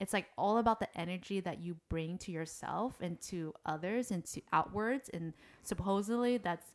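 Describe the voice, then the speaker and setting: With a normal speaking voice, a woman talks at a moderate pace and medium pitch. Her pitch varies in an ordinary way. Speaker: podcast co-host. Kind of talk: casual chat.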